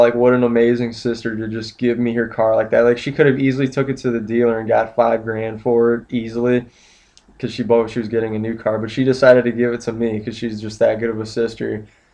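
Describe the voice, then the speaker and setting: A man's shaky, dark, mellow voice moves at a fairly quick pace with medium pitch and monotone, flat intonation. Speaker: vlogger sharing personal addiction story. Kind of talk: personal testimony monologue. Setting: at his brother's place. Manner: rushing and shaky; halting, many fillers.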